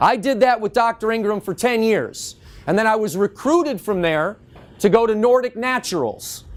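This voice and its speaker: A man talks loudly and at a moderate pace, his voice pitched high. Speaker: natural health industry educator. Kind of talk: lecture.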